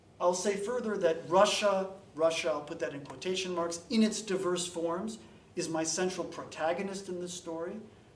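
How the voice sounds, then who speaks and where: A high-pitched man speaks at a moderate pace with fairly even intonation, with noticeable background noise and audible room echo. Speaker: historian giving a talk. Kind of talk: academic lecture.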